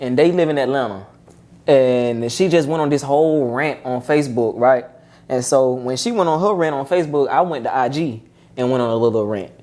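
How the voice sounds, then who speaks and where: The man speaks fairly quickly at a medium pitch. His tone is dark and mellow. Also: ordinary pitch variation. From Georgia, US South. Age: 20s. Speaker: barber and motivational speaker. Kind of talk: casual interview.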